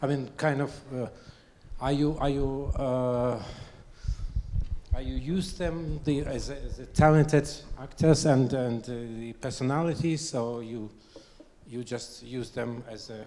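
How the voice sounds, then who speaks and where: A speaker with a non-native accent talks at a fairly slow pace, with long, frequent pauses. Room echo is audible. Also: man, big swings in loudness. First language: not English. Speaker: audience member. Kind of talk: audience question. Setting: stage with audience. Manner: halting.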